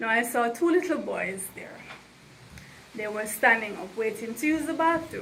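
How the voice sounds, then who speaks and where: Over noticeable background noise, a woman talks at a fairly slow pace, her fairly high voice carrying lively intonation. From Jamaica. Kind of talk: storytelling to camera. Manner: casual, conversational.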